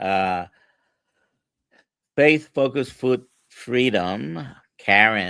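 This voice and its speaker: With a Spanish accent and lively intonation, a man speaks at a very slow pace. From Puerto Rico. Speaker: livestream host and health coach. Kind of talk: casual chat. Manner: halting, many fillers.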